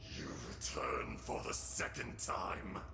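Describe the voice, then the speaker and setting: Over loud background noise, a man whispers in a put-on character voice at a fairly slow pace. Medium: machinima. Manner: wrathful, grandiose.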